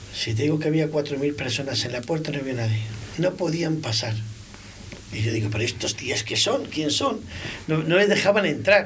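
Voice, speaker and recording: Here a man speaks with lively intonation and a fairly high pitch. His pace is moderate, with noticeable background noise. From Spain, Valladolid (Girón neighbourhood). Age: 50s. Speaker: restaurant owner. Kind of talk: casual chat. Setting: studio.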